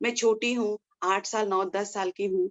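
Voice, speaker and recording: Speaking at a moderate pace with a Nepali accent, a woman keeps her medium pitch monotone and flat. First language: Nepali (speaking Hindi). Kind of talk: testimony. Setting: indoors in a room at home. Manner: halting, with false starts.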